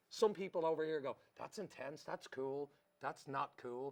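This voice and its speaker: At a fairly quick pace, a man with a Dublin accent speaks in an animated tone with ordinary pitch variation. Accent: Dublin Irish. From Ireland, Dublin. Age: 40s. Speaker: comedy show co-host. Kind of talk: casual chat.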